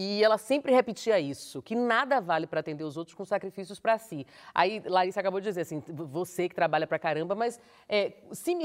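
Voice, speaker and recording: A woman with a normal speaking voice talks at a medium pitch and a fairly quick pace with lively intonation, in a very clean, dry, close recording with a silent background and no echo. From Bahia, Brazil. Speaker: journalist and TV presenter. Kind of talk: casual chat.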